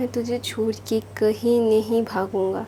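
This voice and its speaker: A woman talks with a non-native accent. There is noticeable background noise. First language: not Hindi (speaking Hindi). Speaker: storyteller YouTuber. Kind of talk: casual story retelling. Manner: informal, hesitant with fillers.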